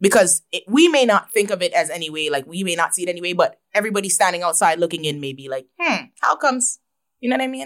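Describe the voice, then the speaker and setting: Lively in intonation, a woman with a Toronto accent talks at a very fast pace with a fairly low pitch. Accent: Toronto Canadian English. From Canada, Toronto. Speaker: rapper. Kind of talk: interview.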